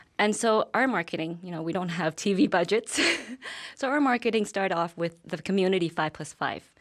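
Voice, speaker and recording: At a fairly quick pace, a woman with a Vietnamese accent speaks at medium pitch with ordinary pitch variation, in a very clean recording with a silent background. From Vietnam, raised in Calgary from childhood. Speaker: business owner. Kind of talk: TV interview.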